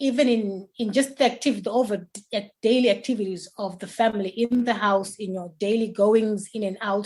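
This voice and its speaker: Speaking at a fairly quick pace, a woman uses a fairly high pitch, a somewhat breathy sound and fairly even intonation. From Zimbabwe. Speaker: mental health nurse and parent coach. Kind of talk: interview answer.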